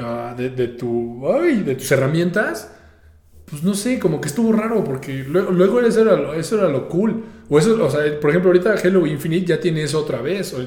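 A man with a Mexican accent talks at a moderate pace, his pitch swinging very widely. The recording has audible room echo and noticeable background noise. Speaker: podcast host. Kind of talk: solo podcast monologue. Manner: casual, repetitive hesitations.

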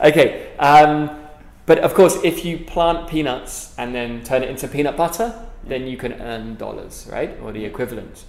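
Speaking with a London accent, the man's voice swings widely in loudness. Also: moderate pace. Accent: British English, London. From London, England. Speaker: author and speaker. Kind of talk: casual interview conversation. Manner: hesitant, many fillers and repeats.

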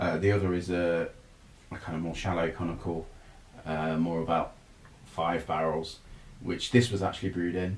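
A man's very deep, low voice in a monotone, flat delivery with long, frequent pauses and audible room echo. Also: moderate pace. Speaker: brewer. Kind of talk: casual chat. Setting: sharing one microphone.

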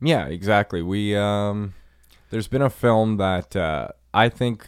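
On a very clean recording with a silent background, a man with a fairly low pitch speaks with ordinary pitch variation in a dry, close sound with no echo. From Nova Scotia, Canada (coastal). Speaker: film podcast co-host. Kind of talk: casual chat. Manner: halting, filler-heavy.

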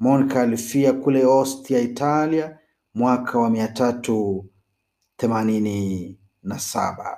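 This man talks at a very slow pace with a dark, mellow tone. His pitch sits in the medium range and varies in an ordinary way. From Kenya. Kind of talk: scripted narration. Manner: formal.

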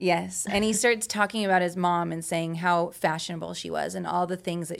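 Fairly low-pitched woman with an American accent, at a fairly quick pace, on a very clean recording with a silent background. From Utah. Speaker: exotic dancer. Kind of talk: casual interview.

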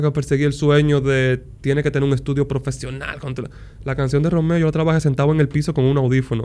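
Pitch varies in an ordinary way across an unremarkable speaking voice. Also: man. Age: 30s. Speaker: music producer and mentor. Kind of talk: casual chat.

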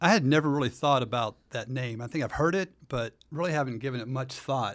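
At a fairly quick pace and with ordinary pitch variation, an unremarkable speaking voice comes through on a very clean recording with a silent background. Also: man. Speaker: church member guest. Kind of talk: casual discussion. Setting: studio.

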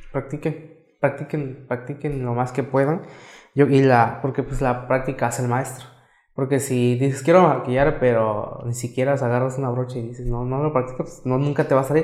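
With a monotone, flat intonation, this man keeps to a moderate pace. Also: medium pitch for a man. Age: young. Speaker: makeup artist and entrepreneur. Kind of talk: casual interview.

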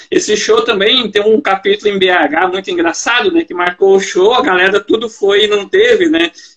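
A man's high-pitched, animated voice at a moderate pace with hardly any pauses, ordinary pitch variation and noticeable background noise. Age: 40s. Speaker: podcast host. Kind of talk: casual interview chat.

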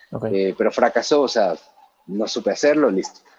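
This man speaks at a medium pitch. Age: 30s. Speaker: musician turned music distribution executive. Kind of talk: podcast interview.

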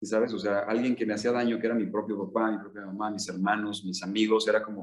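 Fairly low in pitch, a man talks at a fairly quick pace. His intonation is fairly even. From Mexico, Michoacán. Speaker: entrepreneur. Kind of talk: interview.

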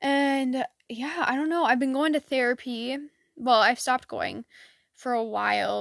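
A woman talks at a fairly slow pace in a high voice with fairly even intonation, in a dry, close sound with no echo and a very clean recording with a silent background. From Michigan. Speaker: podcaster. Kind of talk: casual solo chat, life update. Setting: home, alone, dog nearby. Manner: monotone, tired; filler-heavy, rambling.

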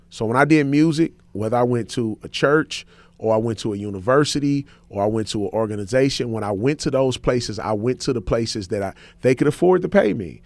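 A man with an American accent talks at a fairly quick pace in a plain, everyday voice. His pitch is medium with ordinary variation, on a very clean recording with a silent background. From St. Louis, Missouri (west side inner city). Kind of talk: radio interview.

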